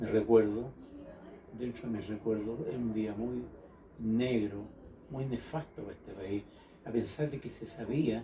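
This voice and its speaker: Moderate pace, with noticeable background noise. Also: man. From Chile. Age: 70s. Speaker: interviewee recalling history. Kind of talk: oral history interview.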